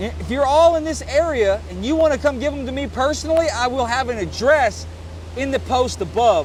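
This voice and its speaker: An animated man with an East Texas accent, talking at a fairly quick pace. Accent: East Texas Southern US. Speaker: congressional candidate and fishing vlogger. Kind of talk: casual appeal while vlogging. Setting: outdoors on a boat on a lake.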